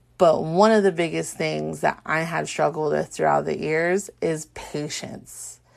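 A woman with an American accent speaks at a fairly slow pace with hardly any pauses, over a quiet background. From Southern California. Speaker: podcast host and small business owner. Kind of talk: casual monologue. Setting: home recording at night. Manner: louder than usual; filler-heavy.

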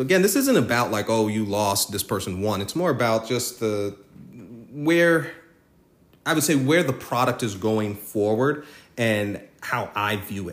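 A man's medium-pitched voice with lively intonation, at a fairly slow pace. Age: 30s. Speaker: podcast host, hedge fund trader. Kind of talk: solo monologue podcast. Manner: halting, with frequent fillers and self-corrections.

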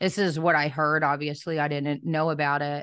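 Her voice is very deep and low for a woman. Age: 30s. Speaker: podcast host and trafficking survivor. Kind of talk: interview testimony.

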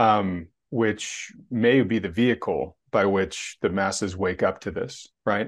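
With a quiet background, a man speaks in a plain, everyday voice at a fairly low pitch with ordinary pitch variation. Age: 50s. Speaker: finance channel host. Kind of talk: casual chat interview.

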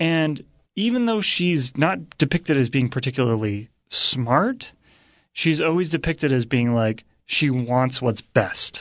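An ordinary speaking voice with lively intonation moves at a fairly slow pace over a quiet background. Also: man, fairly high pitch for a man. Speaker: guest co-host. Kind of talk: casual chat.

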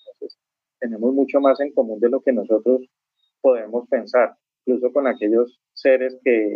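A man talks in a plain, everyday voice at medium pitch and a moderate pace. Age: 50s. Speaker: author and traveler. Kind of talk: interview.

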